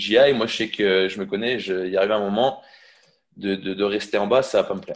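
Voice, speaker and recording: Speaking with fairly even intonation, a man keeps up a fairly quick pace. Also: fairly low pitch for a man. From Brittany, Quimper. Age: 20s. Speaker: fitness coach. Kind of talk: testimony interview. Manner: halting, many fillers.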